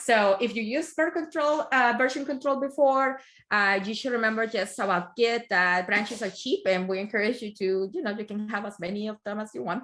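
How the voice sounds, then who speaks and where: With a strong non-native accent, a woman talks at a fairly quick pace with hardly any pauses, her pitch fairly high and ordinary in its variation, on a very clean recording with a silent background. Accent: strong foreign. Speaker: tech project manager, guest speaker. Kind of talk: technical talk.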